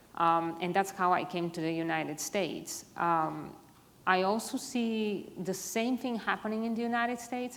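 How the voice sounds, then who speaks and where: A woman at medium pitch talks at a moderate pace with fairly even intonation over noticeable background noise. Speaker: privacy executive, panelist. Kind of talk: panel discussion.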